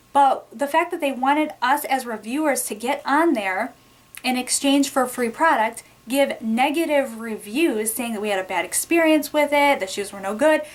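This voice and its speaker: A woman with a high voice speaks at a moderate speed, her pitch shifting in an ordinary way, while background noise is noticeable. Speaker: beauty and product review youtuber. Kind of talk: storytime rant.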